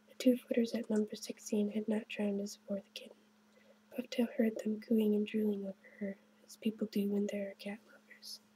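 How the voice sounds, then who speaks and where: A soft-spoken voice at a moderate pace. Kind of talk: children's story reading.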